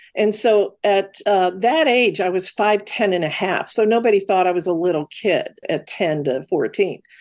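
At a moderate pace with hardly any pauses, a woman speaks at a medium pitch with ordinary pitch variation and very even loudness. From US Midwest. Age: 60s. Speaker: medical intuitive and author. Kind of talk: personal storytelling interview.

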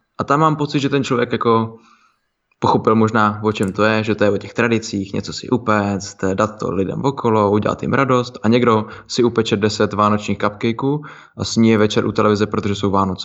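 An ordinary speaking voice: a man, fairly low-pitched, at a fairly quick pace. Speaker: fitness podcast co-host. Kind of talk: casual chat.

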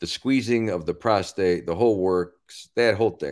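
At a moderate pace, a man speaks in an ordinary speaking voice, fairly low in pitch with ordinary pitch variation. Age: 60s. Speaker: comedian. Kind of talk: casual chat. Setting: video call.

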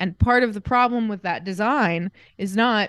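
With an American accent, a woman is talking. Her pitch moves in an ordinary way. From Indiana, US Midwest (Greenfield). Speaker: podcast co-host, graphic designer. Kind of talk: casual chat.

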